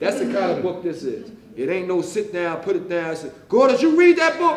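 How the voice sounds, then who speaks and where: A loud, animated man talks at a fairly quick pace with very wide pitch swings, audible room echo and noticeable background noise. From West Philadelphia. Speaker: author. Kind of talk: author talk to library audience. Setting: library event with audience.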